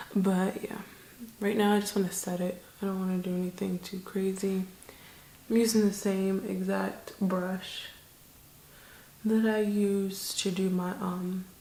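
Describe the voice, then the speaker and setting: A soft-spoken woman whispers at a fairly slow pace. Long, frequent pauses break up her speech. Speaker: beauty vlogger. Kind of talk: makeup tutorial chat. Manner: monotone.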